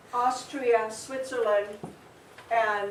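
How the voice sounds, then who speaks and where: A woman speaks at a very slow pace in a fairly high pitch. Noticeable background noise and audible room echo fill the recording. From Germany, Essen. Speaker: author. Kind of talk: school presentation.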